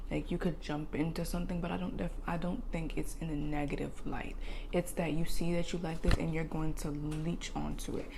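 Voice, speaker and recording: Amid audible room echo, a woman talks at a fairly quick pace with hardly any pauses. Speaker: tarot reader. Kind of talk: tarot reading monologue. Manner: animated.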